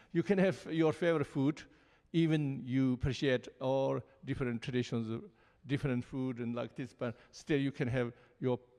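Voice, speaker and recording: Against a quiet background, a man speaks in a Tibetan accent at a moderate pace. His medium-pitched voice has a dark, mellow tone and ordinary pitch variation. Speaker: Buddhist lama. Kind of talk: panel talk. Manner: halting.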